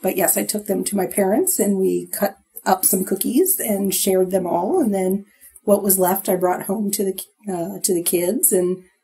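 A woman's medium-pitched voice at a moderate pace, with music in the background. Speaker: podcast co-host. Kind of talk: casual chat.

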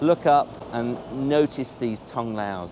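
A man speaks at a fairly slow pace in a medium pitch. His tone is slightly mellow, with ordinary pitch variation.

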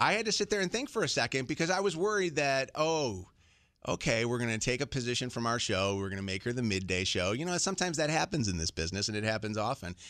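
A man at a very fast pace, animated in tone, with very wide pitch swings and a quiet background. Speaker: morning radio show host. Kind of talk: casual on-air farewell chat. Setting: radio studio. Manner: animated, jokey. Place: studio. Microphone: studio mic.

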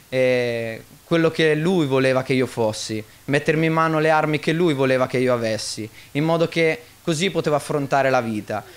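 The man's delivery is neither rushed nor slow. His pitch rises and falls in a normal way. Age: 20s. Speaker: church member giving testimony. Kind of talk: testimony. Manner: halting. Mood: earnest, calm. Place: church. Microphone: studio mic.

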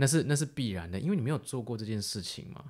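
Speaking at a very fast pace with lively intonation, a man is heard on a very clean recording with a silent background. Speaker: podcast co-host and filmmaker. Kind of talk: casual chat.

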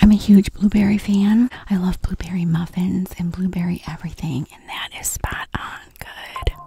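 A woman speaks at a moderate pace with fairly even intonation and a fairly low pitch. Her tone is dark and mellow, with a husky, rough edge.

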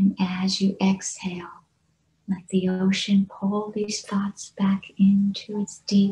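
A woman speaks in a soothing, calm tone. Her pace is very slow. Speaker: meditation guide. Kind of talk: guided meditation. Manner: slow, soothing, calm; gentle, unhurried, with long pauses. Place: home room. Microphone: video call.

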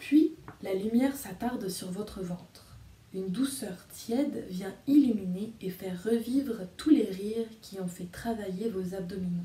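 A soft-spoken woman talks at a fairly slow pace in a gentle, calm tone, with ordinary pitch variation. Her loudness swings a lot, and there is audible room echo. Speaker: storyteller and video reader. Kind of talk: guided meditation. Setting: video recording addressed to viewers. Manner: soft, slow and soothing; gentle, calm, hypnotic pacing with pauses. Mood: calm, soothing. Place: home room. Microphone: phone near.

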